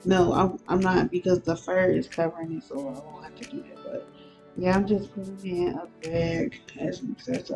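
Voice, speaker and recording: Background music accompanies a woman who speaks at a moderate speed. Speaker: avatar editing tutorial maker. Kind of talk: casual tutorial voiceover. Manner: casual, hesitant with fillers.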